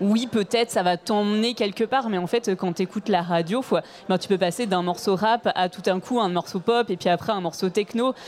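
At a moderate pace, a woman with an ordinary speaking voice talks in a medium pitch with ordinary pitch variation. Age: 30s. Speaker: radio programmer. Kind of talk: panel discussion. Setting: stage with audience.

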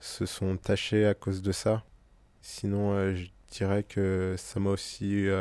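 Recorded very cleanly against a silent background, a man speaks in a dark, mellow, fairly low voice with monotone, flat intonation. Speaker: intersex activist. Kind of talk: testimony.

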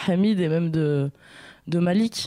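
A woman speaks in a plain, everyday voice. Her pitch is fairly low and varies in an ordinary way. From Blois area, France. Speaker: artist and researcher. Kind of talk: radio interview. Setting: studio.

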